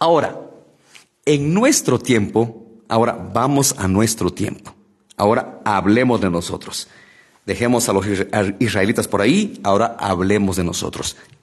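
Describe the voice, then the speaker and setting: Over a quiet background, a man with a medium pitch speaks at a fairly slow pace with long, frequent pauses. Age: 40s. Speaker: lay preacher. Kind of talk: Bible study livestream. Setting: live stream. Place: studio. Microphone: studio mic.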